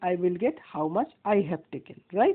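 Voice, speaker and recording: A woman with an Indian accent. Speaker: maths teacher. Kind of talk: tutorial. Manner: slow.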